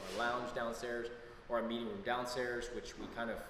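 A man is speaking over loud background noise. Audible room echo surrounds his voice. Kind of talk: casual tour explanation. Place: office.

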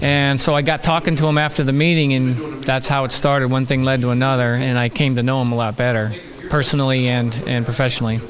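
A man speaks fairly quickly while noticeable noise sits in the background. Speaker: activist. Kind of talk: casual chat. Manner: halting. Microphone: handheld.

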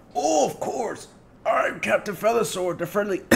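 A man puts on a strained character voice with a high pitch. He speaks at a moderate pace. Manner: strained, put-on.

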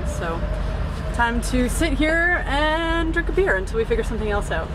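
Noticeable background noise runs under the recording. A woman speaks at a moderate pace. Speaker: sailing vlogger. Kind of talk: casual vlog chat. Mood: amused, resigned frustration. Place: boat. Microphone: camera far.

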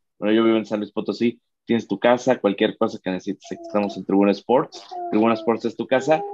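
With a Mexican accent and fairly even intonation, a man speaks in a dry sound with no echo over light background noise. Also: medium pitch for a man, fairly quick pace. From Mexico. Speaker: sports channel host. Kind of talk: interview. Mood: friendly, cheerful. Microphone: video call.

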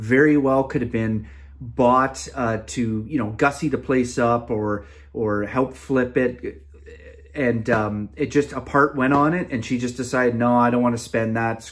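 Against a quiet background, a man speaks at a fairly slow pace. His pitch variation is ordinary. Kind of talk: tutorial. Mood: enthusiastic, impressed. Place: home room. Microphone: phone near.

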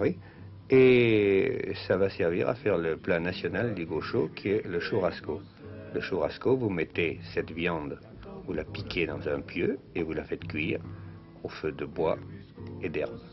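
A man with a very deep, low pitch talks at a very slow pace with long, frequent pauses and ordinary pitch variation. Music plays in the background. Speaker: travel reporter. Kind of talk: TV travel documentary commentary. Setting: 1950s television studio voice-over. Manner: conversational, explanatory.

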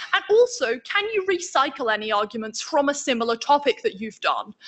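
A woman talks at a moderate pace in a high voice. The background is quiet. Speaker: debating trainer. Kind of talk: lecture. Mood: casual, friendly. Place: home room. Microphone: video call.

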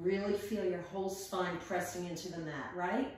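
A woman speaks at a fairly slow pace with a fairly low pitch. Strong echo fills the room around her. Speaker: yoga and fitness instructor. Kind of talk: guided workout class cueing breath-timed reps. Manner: rhythmic, counting breaths and reps in steady cadence; upbeat and encouraging, chatty asides. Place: home room.

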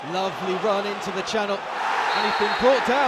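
With noticeable background noise behind him, a man talks in an animated tone at a fairly quick pace, his pitch varying in an ordinary way. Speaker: football commentator. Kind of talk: live sports commentary. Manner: animated, quick play-by-play delivery that rises into excitement on goals.

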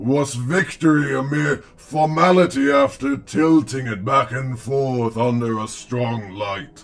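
Using a put-on character voice, a man speaks at a fairly slow pace and medium pitch, with hardly any pauses. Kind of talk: comic dub performance. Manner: mocking, contemptuous, measured.

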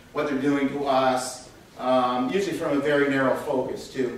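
A man speaks at a moderate pace. There is audible echo in the room. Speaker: speaker. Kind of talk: conference talk. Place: hall.

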